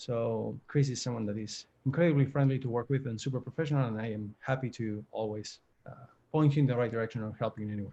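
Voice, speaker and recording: Against a quiet background, a man with an Argentine accent talks at a very fast pace, his medium-pitched voice dark, mellow and somewhat breathy, with fairly even intonation. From Argentina, Buenos Aires. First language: Spanish. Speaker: career coach. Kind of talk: virtual panel webinar. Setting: video call.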